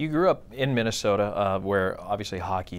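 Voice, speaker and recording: This man has an ordinary speaking voice, fairly low in pitch, talking at a fairly quick pace on a very clean recording with a silent background. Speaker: radio play-by-play announcer. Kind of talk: interview question.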